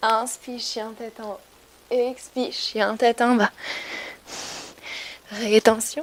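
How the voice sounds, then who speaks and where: Over noticeable background noise, a woman talks at a very slow pace in a monotone, flat intonation. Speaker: yoga teacher. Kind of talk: guided yoga class.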